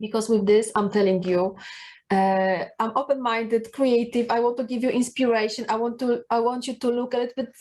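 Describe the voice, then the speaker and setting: A woman's fairly high voice with a Polish accent and fairly even intonation. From Poland. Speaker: personal branding coach. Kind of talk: talking-head video tips. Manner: halting, many fillers.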